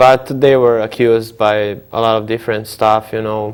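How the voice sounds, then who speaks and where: His voice sits at a medium pitch. The man's delivery stays flat and monotone throughout. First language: Croatian. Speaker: entrepreneur. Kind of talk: TV interview. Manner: halting, many fillers.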